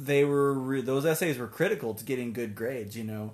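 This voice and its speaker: A man's medium-pitched voice with an American accent and ordinary pitch variation. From US Pacific Northwest, Tacoma, Washington. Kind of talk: casual interview. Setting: studio. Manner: energetic.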